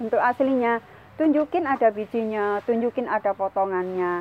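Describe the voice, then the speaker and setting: A woman speaks in an ordinary speaking voice, fairly high in pitch, with lively intonation at a moderate pace. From East Java (Sidoarjo). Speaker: food processing consultant. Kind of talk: informal business talk / tutorial.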